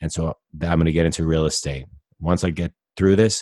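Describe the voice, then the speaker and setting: A man with a very deep, low pitch talks at a fairly quick pace, with a dry, close sound, no echo, and a very clean recording with a silent background. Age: 40s. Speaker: business coach and author. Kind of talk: interview.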